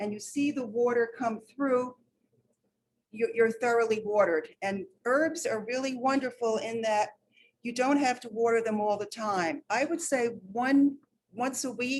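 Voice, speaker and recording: Someone with a New York accent speaks at a fairly slow pace with ordinary pitch variation. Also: woman. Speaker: master gardener volunteer. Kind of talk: hands-on demonstration.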